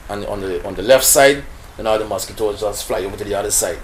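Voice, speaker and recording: A man talks with a Guyanese accent. His pace is very fast. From Guyana. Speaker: local election candidate. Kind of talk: interview answer.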